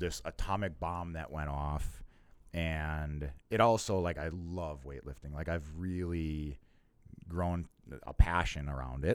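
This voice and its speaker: On a very clean recording with a silent background, a man with a very deep, low pitch speaks at a fairly slow pace, his intonation fairly even but his loudness swinging widely. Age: 30s. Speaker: company employee, podcast guest. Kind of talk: casual interview.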